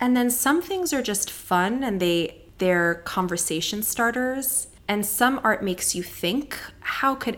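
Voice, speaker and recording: A woman speaks with a Californian accent and lively intonation. Her pace is fairly slow. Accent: Californian American English. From Southern California (Palos Verdes). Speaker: dermatologist. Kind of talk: interview.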